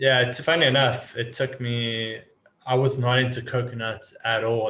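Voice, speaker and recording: With a South African accent, a man speaks at a medium pitch in a bright, sharp tone and fairly even intonation. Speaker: business automation consultant. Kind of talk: podcast interview.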